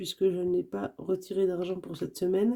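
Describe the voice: A woman's medium-pitched voice, dark and mellow in tone with vocal fry, at a fairly slow pace.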